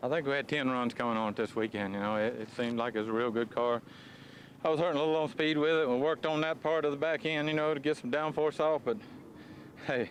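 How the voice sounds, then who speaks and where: A man talks at a very fast pace in a Southern US accent. His pitch is fairly high. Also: ordinary pitch variation. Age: 60s. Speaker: drag racing driver. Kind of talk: post-race interview.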